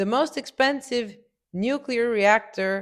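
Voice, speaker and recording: Lively intonation marks a woman's speech in a Romanian accent at a fairly slow pace. The recording is very clean, with a silent background. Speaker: business consultant, entrepreneur. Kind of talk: video essay commentary.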